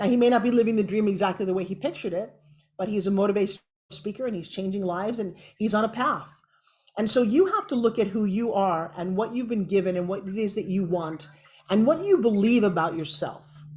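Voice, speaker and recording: Against a quiet background, a woman speaks at a very fast pace in a medium pitch, somewhat breathy, with ordinary pitch variation. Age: 60s. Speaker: TV host and motivational speaker. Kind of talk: interview. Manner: animated.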